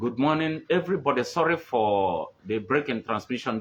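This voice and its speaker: A man with a Nigerian accent speaks at a fairly slow pace. His pitch is medium and his intonation lively. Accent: Nigerian Igbo English. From Nigeria, Igbo (Onitsha Igbeze area). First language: Igbo. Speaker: livestream host on culture and tradition. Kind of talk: live-streamed cultural talk. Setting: live stream on a phone. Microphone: poor network connection.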